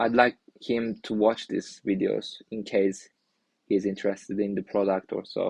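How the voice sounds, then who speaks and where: A man speaks with a Turkish accent. His intonation is monotone and flat. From Turkey. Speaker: indie developer streamer. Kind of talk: live stream talk. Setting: live stream. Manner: halting, many restarts.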